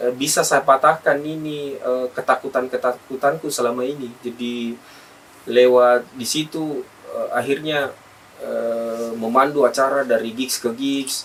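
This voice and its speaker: Against noticeable background noise, a man with a South Sulawesi accent speaks at a medium pitch with fairly even intonation. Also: fairly slow pace. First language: Bugis (speaking Indonesian). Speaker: event host and community organizer. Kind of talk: podcast interview. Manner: halting, many fillers.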